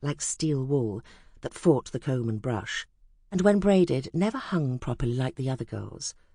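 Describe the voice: The text is read aloud plainly, and the intonation rises and falls in a lively way.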